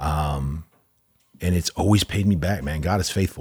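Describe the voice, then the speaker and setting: A somewhat breathy voice with an American accent. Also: man. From Texas (Allen). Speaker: entrepreneur. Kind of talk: casual chat. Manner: animated.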